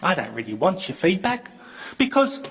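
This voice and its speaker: With an Australian accent, a man speaks loudly at a high pitch. He keeps a moderate pace, with music in the background. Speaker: local councillor. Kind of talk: council debate. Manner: animated.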